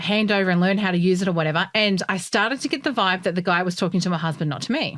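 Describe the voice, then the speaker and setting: A woman with an Australian accent and medium pitch talks at a very fast pace with hardly any pauses. Her tone is animated, with ordinary pitch variation. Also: very even loudness. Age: 40s. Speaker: podcast co-host. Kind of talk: casual chat.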